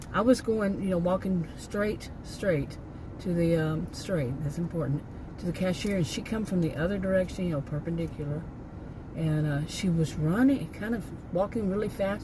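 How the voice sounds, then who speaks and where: Moderate-paced talk with ordinary pitch variation, audible room echo and noticeable background noise. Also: woman, fairly low pitch for a woman. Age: 60s. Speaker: vlogger. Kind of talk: casual chat. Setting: in a car. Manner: halting, many fillers and restarts.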